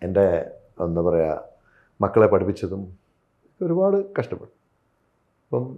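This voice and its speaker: Using an ordinary speaking voice, a man talks at a fairly low pitch with lively intonation. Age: 40s. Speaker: film actor. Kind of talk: interview.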